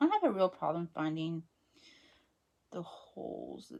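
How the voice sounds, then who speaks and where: Over music in the background, a woman talks at a moderate pace in a relaxed tone. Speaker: craft hobby vlogger. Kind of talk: casual craft-along chat. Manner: mumbling to herself at times; relaxed, hesitant with fillers.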